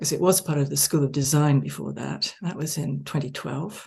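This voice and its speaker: In an American accent, a woman speaks at a moderate pace with a very deep, low pitch, a dark, mellow tone, vocal fry and fairly even intonation. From England and the US. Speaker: architecture professor. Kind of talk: interview. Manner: hesitant, many fillers.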